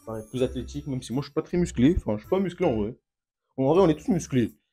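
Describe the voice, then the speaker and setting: This man talks very fast. His intonation is lively. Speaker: youtuber. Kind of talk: unboxing video. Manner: animated.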